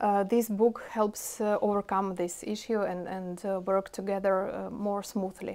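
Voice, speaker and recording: A woman with a Russian accent talks fairly slowly in a monotone, flat intonation. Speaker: IT product owner; interview guest. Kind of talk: interview. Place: office. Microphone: lapel.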